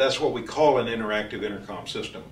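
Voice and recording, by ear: A man talks at a fast pace with a fairly low pitch and ordinary pitch variation. Room echo is audible.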